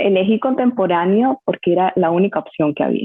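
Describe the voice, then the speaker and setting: At a moderate pace, a woman with a normal speaking voice speaks at medium pitch with ordinary pitch variation. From Colombia, Barranquilla (Caribbean coast). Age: 30s. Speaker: dance teacher and dancer. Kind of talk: podcast interview.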